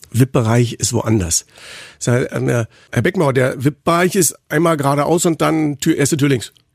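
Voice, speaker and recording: A man with a fairly high pitch and a somewhat breathy voice talks at a moderate pace. His pitch variation is ordinary. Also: dry, close sound with no echo. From Berlin, Germany. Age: 50s. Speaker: football commentator, podcast co-host. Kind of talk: casual chat. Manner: animated.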